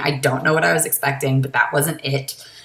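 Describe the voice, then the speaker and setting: A woman with an American accent talks in an animated tone at a fairly quick pace, with noticeable background noise behind her. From Massachusetts. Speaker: vlogger. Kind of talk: casual vlog monologue.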